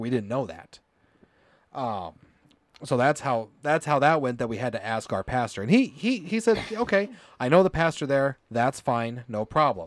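A man with an American accent talks at a moderate pace. His pitch swings very widely. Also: medium pitch for a man. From US, Colorado and Indiana. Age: 30s. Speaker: podcast host, former Pentecostal church member. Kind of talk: testimony interview. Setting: live stream.

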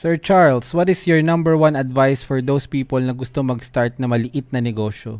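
A man talks at a fairly quick pace with hardly any pauses. His pitch is medium, with ordinary variation. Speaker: livestream host. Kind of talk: live stream interview. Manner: slightly stumbling speech.

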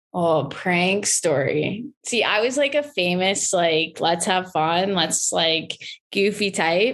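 In a Canadian accent, a woman speaks at a very slow pace with hardly any pauses and lively intonation. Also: medium pitch for a woman, very even loudness. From southwestern Ontario, Canada. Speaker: former hockey player. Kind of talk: casual interview.

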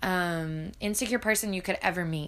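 Bright and sharp in tone, a woman speaks at a medium pitch with fairly even intonation. The recording is very clean with a silent background. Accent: Southern US. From US South, Arkansas. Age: 20s. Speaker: college student podcaster. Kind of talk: casual monologue. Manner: hesitant, many fillers.

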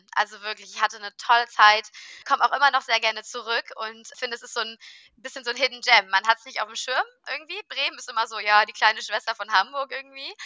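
Very fast speech from a woman at a high pitch. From Rhineland, Germany (Cologne). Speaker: workation compliance startup founder. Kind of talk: interview. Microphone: unstable internet connection.

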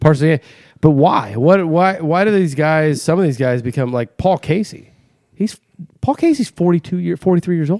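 The tone is dark and mellow, with a dry, close sound and no echo. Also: man, fairly high pitch for a man, lively intonation, moderate pace. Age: 40s. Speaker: golf podcast co-host. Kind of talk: casual chat.

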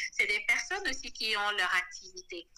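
Her bright, sharp voice sits at a fairly high pitch, and this woman's intonation is lively. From Senegal. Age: 30s. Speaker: marketing director. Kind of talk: interview.

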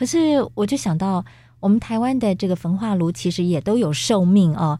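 In a very clean recording with a silent background, a woman speaks at a moderate pace in a somewhat breathy, dark, mellow voice of medium pitch with very wide pitch swings. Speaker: radio host. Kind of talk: radio interview. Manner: formal.

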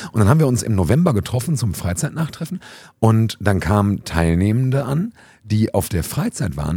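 A man's somewhat breathy voice, fairly quick in pace, with lively intonation. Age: 30s. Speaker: youth worker and podcast host. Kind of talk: casual chat. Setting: youth centre, seated on sofas with mobile recorder.

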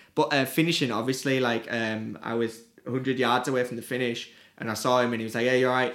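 With a Teesside accent, a man talks at a fairly quick pace and fairly even intonation. Noticeable background noise runs behind him. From northern England, Teesside (Middlesbrough). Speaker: music promoter. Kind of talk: casual interview.

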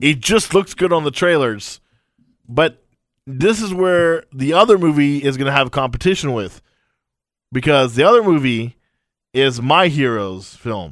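Speaking at a fairly slow pace with long, frequent pauses, a man with a fairly high pitch sounds animated. His pitch swings very widely over a very clean recording with a silent background. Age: 30s. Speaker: podcast co-host, radio board operator. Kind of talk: casual chat.

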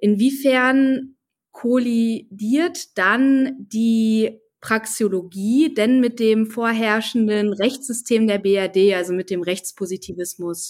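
In a very clean recording with a silent background, a woman talks at a very slow pace. Her pitch is fairly high, with ordinary variation. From North Rhine-Westphalia, Germany. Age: 20s. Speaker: podcast co-host, finance student. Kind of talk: interview conversation.

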